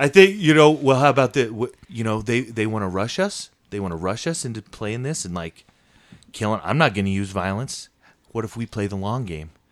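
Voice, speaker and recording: A man with an unremarkable speaking voice talks at a fairly quick pace in a medium pitch. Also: lively intonation. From Iowa. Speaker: improviser and podcast host. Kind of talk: casual interview chat.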